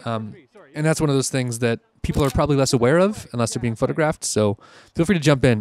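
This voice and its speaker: Lively in intonation and fairly quick, a man at a medium pitch is heard in a dry, close sound with no echo. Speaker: wedding and portrait photographer. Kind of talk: casual commentary over footage. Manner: fast.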